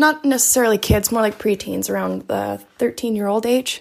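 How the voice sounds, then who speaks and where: A woman speaks at a fairly slow pace with a fairly high pitch. It is a normal speaking voice. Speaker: caller, aunt of two nieces. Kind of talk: voicemail question. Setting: voice memo.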